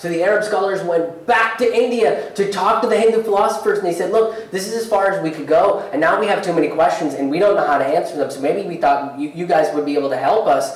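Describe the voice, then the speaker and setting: Delivered at a very fast pace with hardly any pauses, the speech has lively intonation and audible room echo. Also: man, high pitch for a man. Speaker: stand-up comedian. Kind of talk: live stand-up comedy set with earnest, hopeful closing message. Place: stage.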